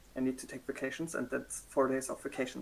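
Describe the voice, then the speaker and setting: A man speaks in a German accent. His pitch is medium. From Germany. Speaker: cosplayer. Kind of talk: interview. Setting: livestream.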